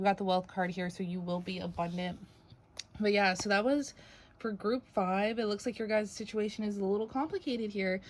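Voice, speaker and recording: A woman of medium pitch talks at a fairly quick pace with fairly even intonation. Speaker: tarot reader. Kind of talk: tarot reading monologue. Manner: halting, self-correcting; casual.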